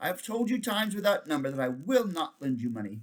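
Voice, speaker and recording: A man's put-on character voice, high in pitch with very wide pitch swings, at a very fast pace. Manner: firm.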